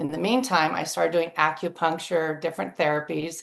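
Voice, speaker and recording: This woman's voice is very deep and low, with vocal fry. She speaks at a moderate pace against a quiet background. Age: 60s. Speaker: flight attendant sharing health testimony. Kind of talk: testimony.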